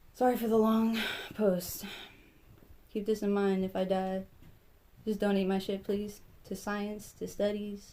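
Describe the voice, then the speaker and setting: A woman speaks at a fairly slow pace with long, frequent pauses. Her tone is dark and mellow, and her intonation is monotone and flat. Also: medium pitch for a woman. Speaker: vlogger. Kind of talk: personal vlog monologue. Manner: stutters sometimes; halting, many fillers.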